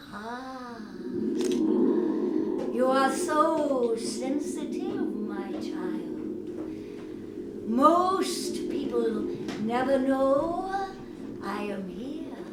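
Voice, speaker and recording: A woman's put-on character voice, very slow, with a slight echo and loud background noise. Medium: stage play. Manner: gentle, patient, amused.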